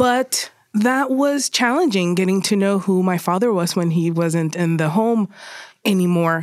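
At a fairly slow pace, a woman with a normal speaking voice talks with lively intonation and very even loudness. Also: medium pitch for a woman. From Puerto Rico, then San Fernando Valley, California. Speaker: documentary photographer. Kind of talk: interview conversation.

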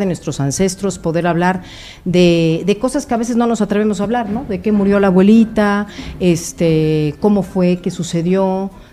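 Speaking at a moderate pace with ordinary pitch variation, this is an unremarkable speaking voice. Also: woman. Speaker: psychologist (doctor). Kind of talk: expert talk on radio.

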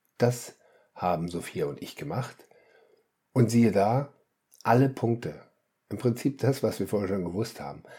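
Dark and mellow in tone with vocal fry, the voice moves at a moderate pace with lively intonation and long, frequent pauses, on a very clean recording with a silent background. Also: man, medium pitch for a man. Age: 50s. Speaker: family coach and podcast host. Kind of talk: solo podcast monologue. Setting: home, attic apartment. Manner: animated.

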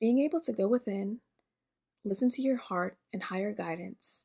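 A woman talks at a moderate pace with a dark, mellow tone, vocal fry and ordinary pitch variation, on a very clean recording with a silent background.

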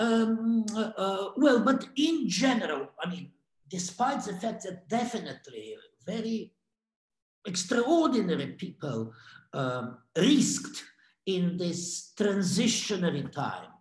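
In a Russian accent, a man speaks very slowly in a high voice with very wide pitch swings. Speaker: art curator. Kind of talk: interview reflection. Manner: halting, many repetitions and fillers.

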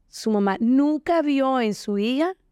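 With lively intonation, a woman's dark, mellow tone comes through a dry, close sound with no echo. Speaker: podcast co-host. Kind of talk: casual chat.

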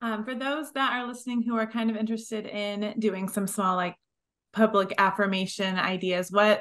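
Speaking at a fairly quick pace, a woman uses an ordinary speaking voice at medium pitch with ordinary pitch variation, over a quiet background. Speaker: podcast co-host. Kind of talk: casual interview chat.

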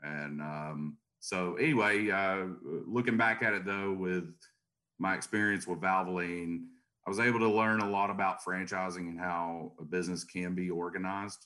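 At a moderate pace, a man speaks with a very deep, low pitch, a bright, sharp tone and fairly even intonation. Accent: Tennessee. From US South, Chattanooga, Tennessee. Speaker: garage door business owner and franchisor. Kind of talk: podcast interview.

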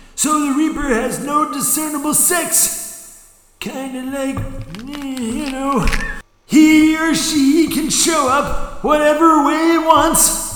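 Clear echo surrounds a man's put-on character voice. It is extremely high-pitched and very slow. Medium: audio drama. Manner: folksy, chatty.

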